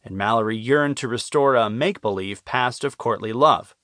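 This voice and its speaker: A man with a normal speaking voice talks at a fairly quick pace with lively intonation over a quiet background. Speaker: audiobook narrator. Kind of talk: audiobook narration. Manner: formal, measured, even-paced.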